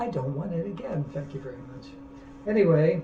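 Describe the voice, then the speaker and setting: Moderate-paced speech from a man, amid audible room echo and noticeable background noise. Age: 70s. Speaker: artist. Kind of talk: casual monologue. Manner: halting.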